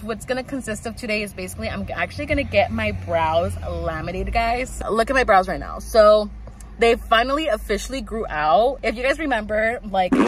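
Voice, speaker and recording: The pace is fairly quick. Light background noise can be heard. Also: woman, dry sound with no echo. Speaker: vlogger. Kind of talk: casual vlog chat. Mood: excited but a bit stressed. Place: car. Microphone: phone near.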